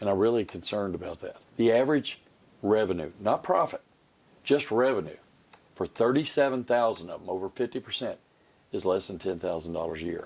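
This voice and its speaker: A man with an American accent speaks at a fairly low pitch and a fairly quick pace, his intonation lively. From Kentucky, Georgetown. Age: 60s. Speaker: political candidate and farmer. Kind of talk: interview.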